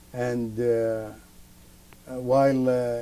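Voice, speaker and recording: A man speaks at a medium pitch. His tone is dark and mellow. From Basrah, Iraq. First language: Arabic. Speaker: chemistry professor. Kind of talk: interview answer. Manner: hesitant, many fillers.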